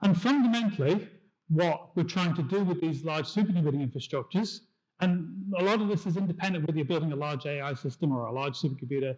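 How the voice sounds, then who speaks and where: In a British accent, a man talks very fast at a high pitch with ordinary pitch variation. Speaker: tech industry engineer. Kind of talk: conference talk. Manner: hesitant with fillers.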